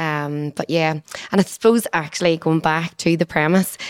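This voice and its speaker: With a Northern Irish accent, a woman talks at a moderate pace in a fairly low voice with monotone, flat intonation and a dry, close sound with no echo. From Northern Ireland. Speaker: physiotherapist. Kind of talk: casual chat.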